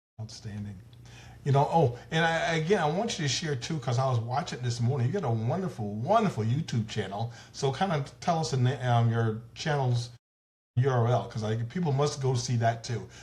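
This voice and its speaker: A fairly quick, somewhat breathy delivery with an American accent and ordinary pitch variation. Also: man, medium pitch for a man. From US South. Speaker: talk show host. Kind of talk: interview.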